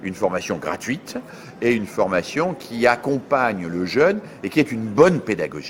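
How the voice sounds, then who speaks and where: Medium-pitched male speech at a moderate pace with very wide pitch swings and noticeable background noise. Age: 60s. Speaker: education scholar. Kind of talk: interview.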